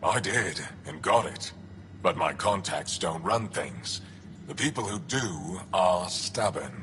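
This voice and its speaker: Using a put-on character voice, a man speaks fairly slowly with a fairly low pitch over clear background noise. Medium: video game. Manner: terse, guarded.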